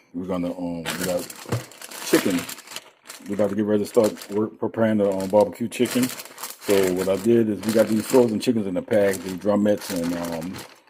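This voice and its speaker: A man talks at a fairly quick pace in a fairly low pitch with fairly even intonation. Noticeable background noise can be heard. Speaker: cooking channel host. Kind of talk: cooking tutorial. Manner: fast; casual, hesitant with many ums.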